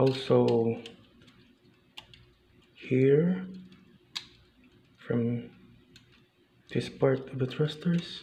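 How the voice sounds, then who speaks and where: Pausing long and often, a man speaks at medium pitch and a very slow pace, with ordinary pitch variation. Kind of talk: casual talk to camera, model kit review. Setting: indoors, recorded quietly early in the morning. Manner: whispered, soft-spoken.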